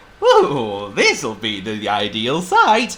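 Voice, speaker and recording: A man puts on a character voice at a medium pitch. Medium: read story. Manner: hearty, booming.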